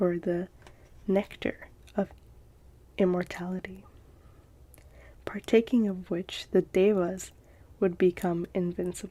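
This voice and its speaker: A soft-spoken woman with a dark, mellow tone and a calm tone speaks at a fairly slow pace in a medium pitch, monotone and flat, with long, frequent pauses. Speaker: ASMR content creator. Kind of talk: ASMR story reading. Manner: soft-spoken, calm, slow.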